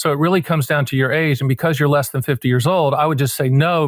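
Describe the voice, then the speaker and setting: Recorded very cleanly with a silent background and a dry, close sound with no echo, a man with an American accent speaks at a fairly high pitch. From US South, rural North Carolina. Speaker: annuity advisor. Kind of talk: podcast interview. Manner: casual, animated.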